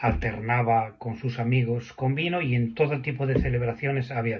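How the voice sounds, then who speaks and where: A man speaks at a fairly slow pace in a medium-pitched voice. His delivery is somewhat breathy. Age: 60s. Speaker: recovering drinker sharing his story. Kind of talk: testimony. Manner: halting, with repetitions.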